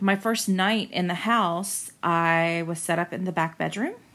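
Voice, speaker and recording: Speech in an American accent comes at a fairly slow pace on a very clean recording with a silent background. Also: woman. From Central Florida. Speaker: listener sharing a ghost story. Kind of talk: personal testimony.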